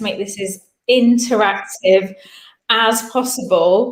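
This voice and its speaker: With an English accent, the speaker keeps a fairly even intonation. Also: woman. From England. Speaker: business founder and coach. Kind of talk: webinar talk.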